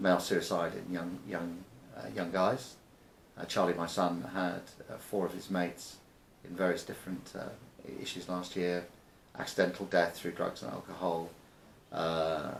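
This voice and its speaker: A man's very deep, low voice at a moderate pace, with fairly even intonation, long, frequent pauses and audible room echo. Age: 60s. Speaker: business founder and investor. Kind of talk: interview. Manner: halting, many repetitions and fillers.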